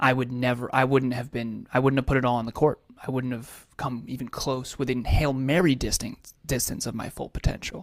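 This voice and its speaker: A man with an American accent talks at a fairly quick pace with hardly any pauses. His intonation is monotone and flat. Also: medium pitch for a man. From US Northeast (Massachusetts). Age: 30s. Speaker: life coach. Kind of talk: interview.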